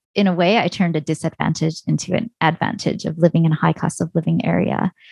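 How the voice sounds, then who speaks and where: In a Canadian accent, a woman with a plain, everyday voice and a fairly low pitch is captured with a dry, close sound with no echo. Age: 40s. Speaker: personal finance blogger and podcaster. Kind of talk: interview.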